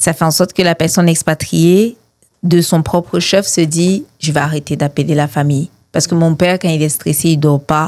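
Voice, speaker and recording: The voice moves at a moderate pace with fairly even intonation and big swings in loudness. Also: woman, fairly low pitch for a woman. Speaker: mental health advocate, founder of an organization. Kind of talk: testimony.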